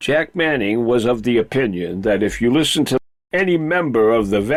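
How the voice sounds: Here is a natural reading voice with lively intonation. The background is quiet.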